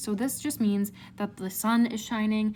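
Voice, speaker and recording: A woman speaks in a somewhat breathy voice. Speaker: art teacher. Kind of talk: tutorial. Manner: casual, filler-heavy.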